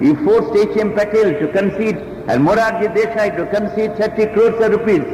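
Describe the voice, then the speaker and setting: A high-pitched man with a Bengali accent speaks at a moderate pace over noticeable background noise. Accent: Indian English, Bengali. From Calcutta, India. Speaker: trade union leader. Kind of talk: speech to union conference.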